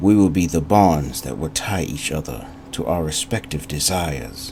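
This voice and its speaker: Putting on a character voice, a man speaks at a very deep, low pitch, husky and solemn in tone, with lively intonation. His pace is moderate, over light background noise. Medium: read story. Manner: solemn, intimate.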